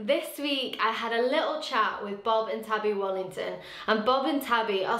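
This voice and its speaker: Moderate-paced speech with audible room echo and noticeable background noise. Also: woman. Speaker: youth ministry host. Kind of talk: casual chat.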